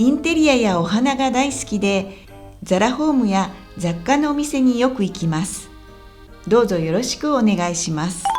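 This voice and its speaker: A woman with a fairly high pitch speaks with lively intonation over music in the background. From Kansai, Japan. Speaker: Japanese teacher, former TV and radio presenter. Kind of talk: language-learning podcast talk.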